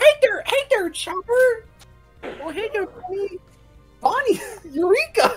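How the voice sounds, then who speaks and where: Faint music plays behind a put-on character voice at an extremely high pitch, very slow pace and with long, frequent pauses. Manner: cartoonish, exaggerated.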